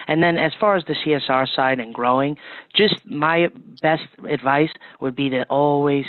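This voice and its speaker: A man has an unremarkable speaking voice, fairly high in pitch. His pitch varies in an ordinary way. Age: 20s. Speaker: plumbing company marketing manager. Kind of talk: interview.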